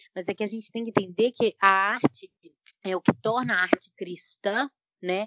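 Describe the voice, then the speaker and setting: An unremarkable speaking voice from a woman, medium in pitch, with fairly even intonation and a moderate pace. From Brazil, Belo Horizonte (Minas Gerais). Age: 20s. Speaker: painter and journalism student. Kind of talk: casual panel discussion.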